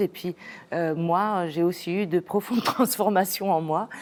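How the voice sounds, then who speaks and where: A woman with a Spanish accent speaks at a moderate pace in a fairly low voice with ordinary pitch variation. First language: Spanish (speaking French). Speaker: singer-songwriter. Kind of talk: interview. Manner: halting, many hesitations.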